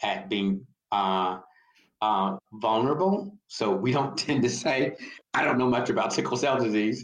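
A man with an American accent speaks at a fairly slow pace in a fairly low voice, with ordinary pitch variation. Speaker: physician and biotech executive. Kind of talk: interview. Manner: halting, many fillers.

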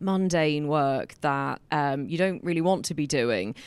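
On a very clean recording with a silent background, a woman speaks with an English accent. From England. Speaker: lawyer and community founder. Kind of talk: live interview with audience Q&A. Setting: lecture hall with live audience.

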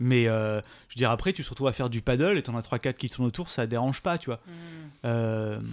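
A man with an unremarkable speaking voice and a medium pitch talks at a fairly quick pace. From La Réunion. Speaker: science YouTuber. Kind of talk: casual interview chat.

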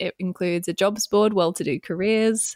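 A woman in an Australian accent speaks with fairly even intonation, the sound dry and close with no echo. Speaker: entrepreneur and business coach. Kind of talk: interview.

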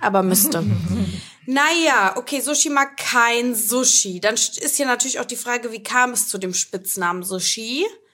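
Over noticeable background noise, a woman with a fairly high pitch speaks in an animated tone with lively intonation and hardly any pauses. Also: fairly slow pace. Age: 20s. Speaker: podcast host and influencer. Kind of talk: casual chat.

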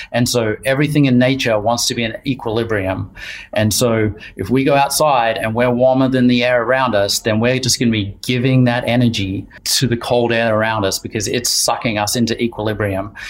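The speaker has a New Zealand accent and a fairly quick pace. Intonation stays fairly even. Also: man, medium pitch for a man. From New Zealand, Wellington. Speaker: outdoor apparel designer. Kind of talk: casual interview. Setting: video call.

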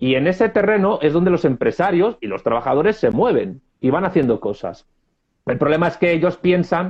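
This man has a high pitch and lively intonation. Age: 30s. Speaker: political scientist. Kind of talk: interview.

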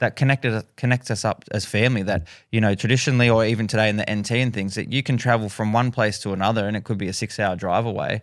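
A man with an Australian accent talks at a very fast pace with hardly any pauses, his fairly low voice following fairly even intonation over a very clean recording with a silent background. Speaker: singer and youth educator. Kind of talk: interview conversation.

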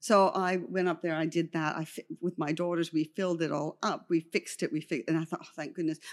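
Using a plain, everyday voice, a woman talks fairly quickly with hardly any pauses, at a fairly low pitch and with fairly even intonation. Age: 60s. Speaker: makeup artist. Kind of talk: interview.

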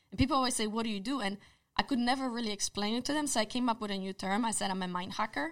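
Someone with a Polish accent speaks at a very fast pace on a very clean recording with a silent background. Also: woman, fairly high pitch for a woman, ordinary pitch variation. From Poland. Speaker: social psychologist. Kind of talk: casual interview.

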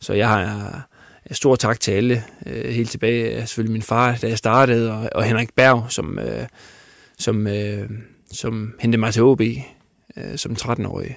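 Very slow speech from a man in a medium pitch, with fairly even intonation and long, frequent pauses, on a very clean recording with a silent background. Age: 30s. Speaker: football coach and former player. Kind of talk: interview. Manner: halting, many fillers.

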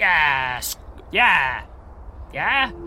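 A man's put-on character voice, growling and fairly high-pitched, over clear background noise. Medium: actual play. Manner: halting, monosyllabic grunts.

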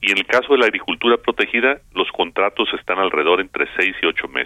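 A man is speaking. His pace is fairly quick. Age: 60s. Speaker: agricultural business council president. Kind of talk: radio interview. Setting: phone call.

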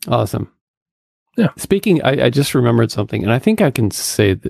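A man's medium-pitched, somewhat breathy voice at a very fast pace, with lively intonation and a dry, close sound free of echo. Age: 50s. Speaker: podcast co-host and author. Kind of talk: casual chat.

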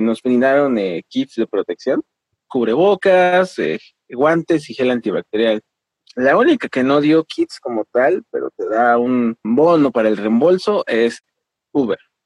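The speech moves at a fairly slow pace with very wide pitch swings. The sound is dry and close, with no echo. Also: man. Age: 30s. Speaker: delivery rider and labor organizer. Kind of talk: interview.

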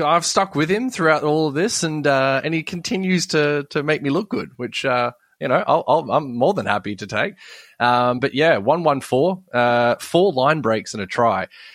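With an Australian accent, a man talks at a moderate pace in a fairly high pitch with very wide pitch swings, on a very clean recording with a silent background and a dry, close sound with no echo. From Sydney, Australia. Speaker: fantasy sports podcaster. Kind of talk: casual chat.

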